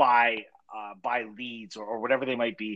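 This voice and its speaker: A man with a Canadian accent speaks at a moderate pace in a bright, sharp tone. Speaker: podcast co-host. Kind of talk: casual interview.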